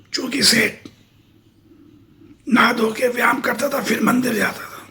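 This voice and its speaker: Using a put-on character voice, a man speaks at a moderate pace with an extremely high, raspy pitch, monotone, flat intonation and big swings in loudness. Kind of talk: folksy spoken moral tale. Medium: read story. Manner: conversational, repetitive, colloquial.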